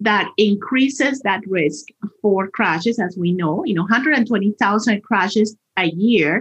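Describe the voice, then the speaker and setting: Lively intonation marks this very slow delivery in a Spanish accent. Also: woman. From Colombia. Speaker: transportation department spokesperson. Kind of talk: interview.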